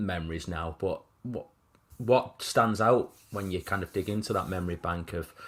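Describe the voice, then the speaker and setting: In a Mancunian accent, a man talks with a very deep, low pitch and ordinary pitch variation on a very clean recording with a silent background. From Manchester, England (Wythenshawe). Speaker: football podcast host. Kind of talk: casual chat.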